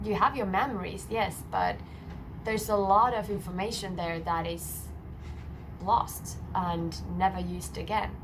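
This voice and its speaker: Long, frequent pauses break up a woman's fairly slow speech, heard with audible room echo and noticeable background noise. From Finland. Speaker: singer-songwriter. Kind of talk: casual talk explaining her song lyrics. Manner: hesitant, with frequent filler words.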